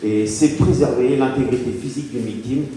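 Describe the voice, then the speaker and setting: With noticeable background noise and audible room echo, a man speaks at a medium pitch and a fairly quick pace. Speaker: fire brigade officer and association president. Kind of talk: public presentation. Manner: hesitant with many fillers.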